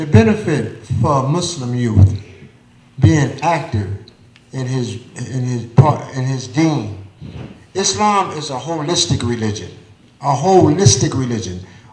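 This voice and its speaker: A man with an American accent, somewhat breathy and fairly slow, with long, frequent pauses, big swings in loudness and audible room echo. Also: medium pitch for a man. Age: 60s. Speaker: community elder speaker. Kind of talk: panel discussion at live event. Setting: theater stage with audience.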